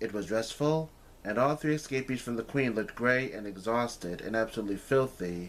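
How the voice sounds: A natural reading voice. It is heard throughout the clip.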